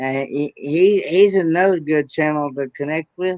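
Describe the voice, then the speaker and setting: In a dry, close sound with no echo, a man speaks at a fairly slow pace with a fairly high pitch and ordinary pitch variation. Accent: Southern. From US South, Tennessee. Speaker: livestream host. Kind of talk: casual chat.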